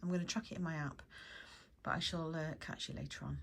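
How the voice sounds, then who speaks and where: Talking at a very fast pace, a woman with an English accent has a very deep, low pitch. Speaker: lifestyle vlogger. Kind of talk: casual vlog chat.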